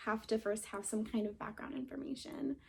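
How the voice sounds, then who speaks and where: A woman's voice sits fairly high, with a dark, mellow tone. It sounds shaky, and the intonation stays fairly even. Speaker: vlogger sharing personal story. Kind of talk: personal testimony. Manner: shaky voice; halting, with pauses and fillers.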